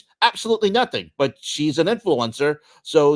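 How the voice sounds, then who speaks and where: On a very clean recording with a silent background, a man speaks at a fairly quick pace, his fairly high voice making very wide pitch swings. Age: 60s. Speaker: sports podcast co-host. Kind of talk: casual chat. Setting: livestream. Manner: halting.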